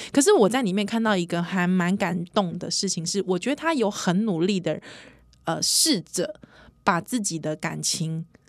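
A woman of medium pitch talks at a moderate pace. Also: ordinary pitch variation. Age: 30s. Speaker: podcast host. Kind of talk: casual chat. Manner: animated.

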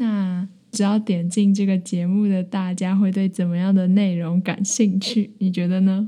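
In a Taiwanese accent, a woman speaks at a fairly slow pace with a medium pitch and hardly any pauses. Her somewhat breathy voice is monotone and flat. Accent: Taiwanese Mandarin. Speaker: university student podcaster. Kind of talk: casual chat. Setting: small room in a library.

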